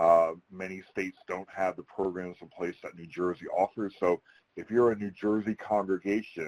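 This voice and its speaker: The speaker has a Philadelphia accent. The sound is dry and close with no echo, over a quiet background. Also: man. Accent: Philadelphia-area American. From US Northeast, outside Philadelphia. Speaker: federal security advisor, retired military. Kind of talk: webinar presentation. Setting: virtual webinar. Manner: fast.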